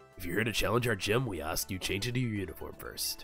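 Someone races along at a very fast pace in a put-on character voice. Clear music plays in the background. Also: man, fairly low pitch for a man. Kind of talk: reading game dialogue aloud in let's-play commentary. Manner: polite, official.

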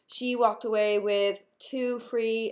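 Her intonation stays fairly even. Nothing much can be heard behind her. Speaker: nail wrap seller. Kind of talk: casual vlog chat. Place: home room. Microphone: webcam.

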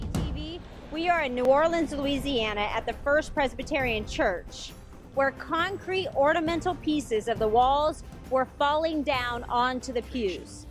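Music plays in the background as a woman speaks. Her pitch is high with ordinary variation, and her pace is fairly slow. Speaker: TV reporter. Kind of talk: on-location TV news reporting.

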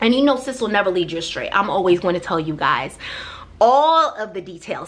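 A woman speaks with lively intonation. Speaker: vlogger. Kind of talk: casual vlog chat. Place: home room.

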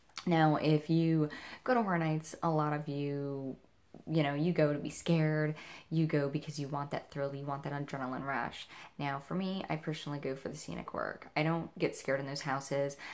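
A woman at a moderate pace, very deep and low in pitch, with fairly even intonation. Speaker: horror event vlogger. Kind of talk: casual vlog chat. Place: home room. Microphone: camera far.

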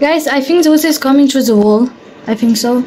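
A woman's slightly mellow voice with ordinary pitch variation over faint background noise

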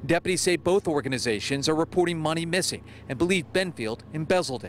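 A man talks at a very fast pace with ordinary pitch variation, his dry, echo-free sound sitting over light background noise. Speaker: TV news reporter. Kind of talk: news reporting, live field report in a crisp, polished broadcast delivery. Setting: outdoors, live on location. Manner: formal, steady, authoritative.

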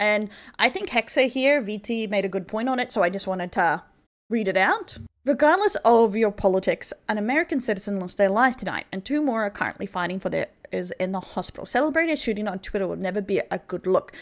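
Speaking very fast with an Australian accent, a woman with a fairly high pitch uses lively intonation and big swings in loudness against a quiet background. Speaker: vtuber news commentator. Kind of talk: online commentary video. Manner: occasionally stuttering. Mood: serious, measured.

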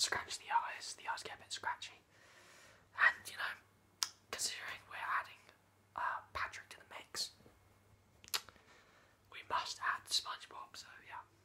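A man whispers at a fairly slow pace, leaving long, frequent pauses. His loudness swings a lot. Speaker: vlogger. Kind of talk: casual vlog chat. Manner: soft, hushed ASMR talk. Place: home room. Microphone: webcam.

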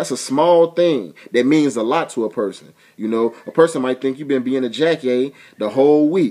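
A quiet background behind a man's voice. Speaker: vlogger giving relationship advice. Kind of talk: casual vlog chat. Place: home room. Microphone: webcam.

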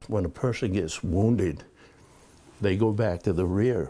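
Over noticeable background noise, a man speaks in a fairly low pitch with ordinary variation and a dark, mellow tone. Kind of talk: interview answer. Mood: reflective, somber. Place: home room. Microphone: lapel.

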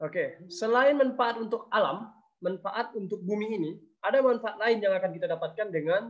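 Over a quiet background, a man's speech shows ordinary pitch variation. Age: 20s. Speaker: conservation activist; presenter. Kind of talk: webinar presentation. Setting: video call. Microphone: video call.

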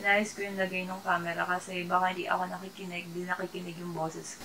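Speaking very fast with hardly any pauses, a woman talks at a fairly low pitch in a flat monotone, her loudness swinging widely over light background noise. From Philippines. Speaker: YouTuber; vlogger. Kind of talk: product haul vlog. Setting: at home at night. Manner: quiet, keeping voice down. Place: home room. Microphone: phone near.

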